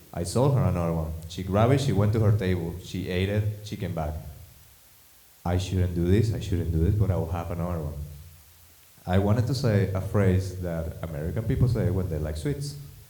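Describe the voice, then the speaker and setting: A man's very deep, low voice with a non-native accent, at a fairly quick pace, in audible room echo. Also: ordinary pitch variation. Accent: foreign. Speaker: stand-up comedian. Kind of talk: stand-up.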